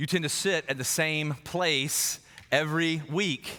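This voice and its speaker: An animated voice with an American accent carries a bright, sharp tone. The recording is very clean, with a silent background. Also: man. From US South, South Carolina. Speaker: pastor. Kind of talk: sermon. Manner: repetitive, halting fillers.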